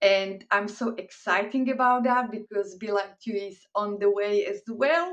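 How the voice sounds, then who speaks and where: Speaking with a Slovak accent, the voice moves at a fairly slow pace with hardly any pauses. Pitch varies in an ordinary way. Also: woman, medium pitch for a woman. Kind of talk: inspirational talk.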